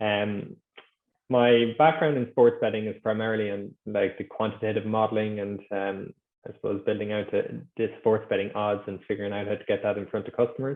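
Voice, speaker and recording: At a fairly quick pace, a man with an Irish accent talks at a fairly low pitch with fairly even intonation. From Ireland. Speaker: sports betting executive. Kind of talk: podcast interview.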